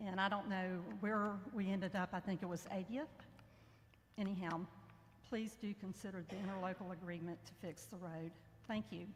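Pausing often and at length, a woman speaks at a moderate pace with a medium pitch and fairly even intonation. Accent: American. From north central Florida. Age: 60s. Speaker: former state representative speaking at public comment. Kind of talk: public comment at government meeting. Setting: public meeting hall, speaking into a mic.

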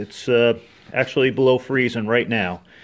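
A man talks at a moderate pace. Music can be heard behind him. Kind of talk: casual tutorial narration. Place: garage. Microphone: phone near.

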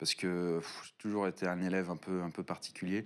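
A man talks at a moderate pace. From Paris region, France. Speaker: YouTuber and game studio founder. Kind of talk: casual interview. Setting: studio. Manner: hesitant, many fillers. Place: studio.

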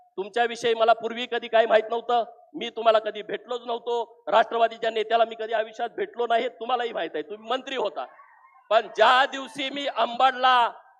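Loudness swings widely while the intonation stays fairly even. Noticeable background noise sits behind the voice. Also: man, extremely high pitch for a man. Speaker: politician. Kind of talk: political rally speech. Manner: forceful oratory.

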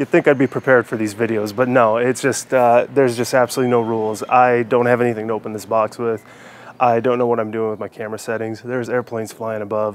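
In a dry room with no echo and light background noise, a man talks at a very fast pace with monotone, flat intonation. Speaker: hiking channel host. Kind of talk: casual vlog chat. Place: garden. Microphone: lapel.

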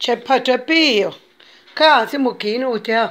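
Slow pace with ordinary pitch variation. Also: woman, fairly high pitch for a woman.

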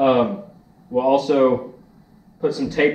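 With a dark, mellow tone, a man speaks at a fairly slow pace amid audible room echo and light background noise. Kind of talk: tutorial. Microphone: camera far.

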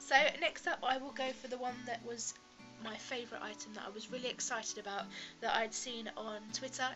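A woman with a British accent, fairly high in pitch, at a fairly quick pace with fairly even intonation and music in the background. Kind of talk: casual talk to camera.

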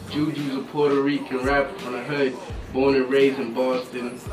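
Clear music plays behind a man's voice. His intonation is monotone and flat. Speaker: guest. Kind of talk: interview answer. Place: studio.

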